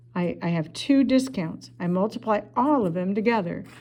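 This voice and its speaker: A woman's dark, mellow tone with vocal fry, ordinary pitch variation and a moderate pace. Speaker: math teacher. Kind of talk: tutorial. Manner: casual.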